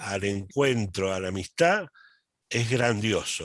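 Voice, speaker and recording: With an Argentine accent, a man speaks at a very slow pace in a fairly low pitch with lively intonation, the sound dry and close with no echo. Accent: Argentine Spanish (Rioplatense). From Argentina. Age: 70s. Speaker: accountant and lay church movement speaker. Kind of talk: talk at online meeting. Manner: halting, many fillers and repetitions.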